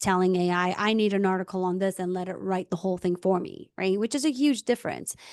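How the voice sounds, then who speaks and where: A woman's medium-pitched voice at a moderate pace with ordinary pitch variation, dry and close with no echo, over a quiet background. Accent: non-native. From immigrant, non-English-speaking country. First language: not English. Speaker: podcast host. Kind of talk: casual interview conversation.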